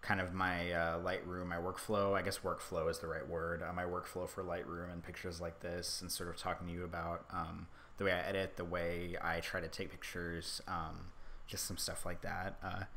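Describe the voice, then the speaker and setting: In a room with audible echo, a man with a very deep, low pitch speaks at a moderate pace in a bright, sharp tone and a monotone, flat intonation. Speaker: hobby photographer streaming his editing. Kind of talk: casual livestream tutorial. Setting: livestream from laptop. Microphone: stream quality reported bad.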